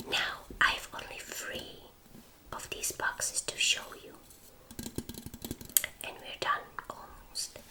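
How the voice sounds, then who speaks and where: Whispering in a relaxed tone, a woman goes at a very slow pace with long, frequent pauses. Noticeable background noise runs throughout. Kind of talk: whispered ASMR show and tell. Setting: indoors in her room. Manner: whispered, slow, relaxed.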